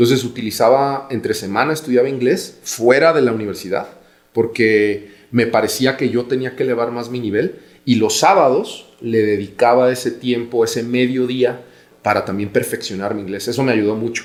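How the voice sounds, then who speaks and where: In a Guadalajara accent, a man talks at a medium pitch. His pace is moderate and his pitch variation ordinary. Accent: Mexican Spanish (Guadalajara). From Mexico, Guadalajara. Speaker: business executive. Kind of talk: podcast interview.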